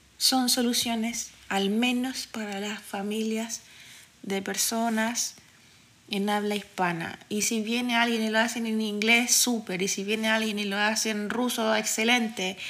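A woman's fairly high, flat, monotone voice at a fairly slow pace, with audible room echo. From Chile, Santiago (Quinta Normal). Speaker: podcast host. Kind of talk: solo podcast monologue. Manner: casual, frequent fillers.

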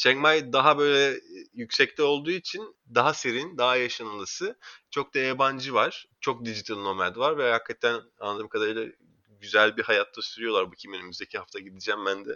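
A man with an ordinary speaking voice talks at a fairly quick pace, medium in pitch, with lively intonation. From Istanbul, Turkey. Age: 30s. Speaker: marketing professional. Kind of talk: casual interview.

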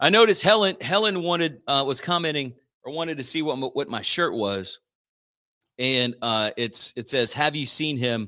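A man's fairly high-pitched voice, animated and bright with a sharp edge, lively in its intonation, on a very clean recording with a silent background. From South Louisiana (Acadiana, Cajun). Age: 40s. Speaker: radio host. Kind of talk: casual morning radio talk. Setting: radio studio.

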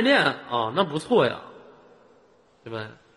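Speaking at a fairly slow pace, the man's pitch swings very widely. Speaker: live-stream host. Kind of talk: casual chat. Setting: online voice chat room. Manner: animated.

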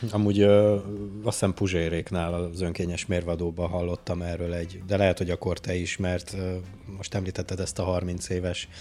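A man's very deep, low voice, dark and mellow in tone, monotone and flat, on a very clean recording with a silent background. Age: 30s. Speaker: podcast co-host. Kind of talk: casual chat. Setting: studio.

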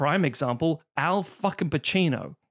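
Lively intonation carries through a very clean recording with a silent background. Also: man. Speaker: podcast co-host, actor. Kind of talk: casual chat. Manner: animated, does impressions.

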